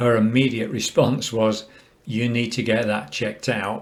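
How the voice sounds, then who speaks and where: A man speaks with an English accent. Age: 70s. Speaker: cancer patient sharing experience. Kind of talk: personal testimony. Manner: calm, measured.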